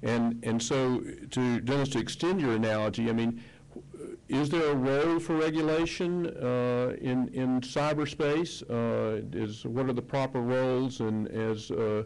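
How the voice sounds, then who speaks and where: There is audible room echo around a man's medium-pitched voice. He talks at a fairly slow pace with very even loudness and ordinary pitch variation. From US South, Mississippi. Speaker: panel moderator. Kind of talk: panel discussion.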